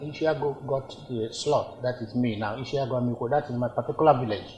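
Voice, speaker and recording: The speaker has a Nigerian accent. The intonation is monotone and flat. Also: man. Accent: Nigerian Igbo English. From Nigeria, Igbo, Awka in Anambra. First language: Igbo. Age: 80s+. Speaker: traditional ruler. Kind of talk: interview. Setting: palace.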